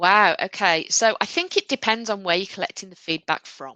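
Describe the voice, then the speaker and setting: With a slight Midlands accent, a woman talks at a fairly quick pace in a bright, sharp tone, the sound dry and close with no echo against a quiet background. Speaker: software company sales director. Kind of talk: webinar Q&A. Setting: online webinar.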